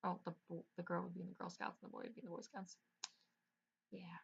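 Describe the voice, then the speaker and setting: The speaker is a woman. Her voice is somewhat breathy. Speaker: gaming YouTuber. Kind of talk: gameplay commentary. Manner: usually quiet, speaking up; casual, filler-heavy.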